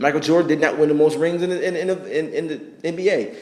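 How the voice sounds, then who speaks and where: The delivery has an animated tone. Background noise is noticeable. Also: man. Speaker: sports vlogger. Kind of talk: casual rant. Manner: fast.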